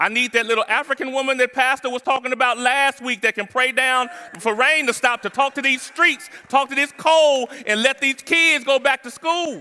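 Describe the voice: A man speaks at a moderate pace in an extremely high pitch with ordinary pitch variation. His tone is clear and smooth yet also bright and sharp. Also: few pauses.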